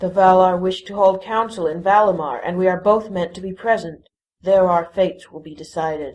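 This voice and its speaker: A put-on character voice at a middle pitch and a fairly quick pace. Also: female-sounding voice. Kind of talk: audio drama dialogue.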